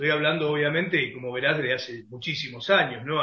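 With a plain, everyday voice, a man talks at a fairly quick pace, his pitch fairly high and his intonation fairly even. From Argentina, Concordia, Entre Ríos. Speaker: football radio commentator. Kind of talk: interview.

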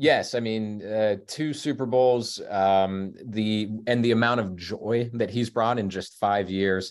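With a Midwestern US accent, a man speaks at a very slow pace with hardly any pauses, using a fairly low pitch and fairly even intonation. The recording is very clean, with a silent background. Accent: US Midwest. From Kansas City suburbs, Kansas. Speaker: features writer and author. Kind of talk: casual interview chat. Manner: halting, many fillers.

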